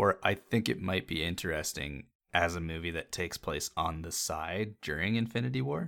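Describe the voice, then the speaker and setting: Bright, sharp tone with vocal fry comes through at a moderate pace, the pitch varying in an ordinary way. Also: man, very deep, low pitch for a man. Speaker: podcast host. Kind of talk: casual chat. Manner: casual, profane.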